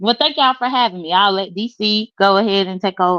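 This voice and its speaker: Talking at a fairly quick pace, a woman with a Southern US accent uses ordinary pitch variation. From US South, South Mississippi. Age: 30s. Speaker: guest YouTuber. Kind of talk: casual chat. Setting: live stream.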